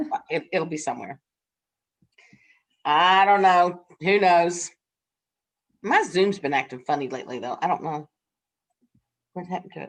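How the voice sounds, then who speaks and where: Speaking in a Southern US accent, the voice breaks into long, frequent pauses and swings widely in loudness. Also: woman, fairly low pitch for a woman, ordinary pitch variation, moderate pace. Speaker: nursing instructor. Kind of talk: casual chat. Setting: video call. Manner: halting.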